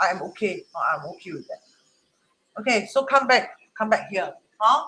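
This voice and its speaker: A man's raised, projected voice, high-pitched and animated, with lively intonation, big swings in loudness and a moderate pace. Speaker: Chinese metaphysics teacher. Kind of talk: online class livestream. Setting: Facebook live stream.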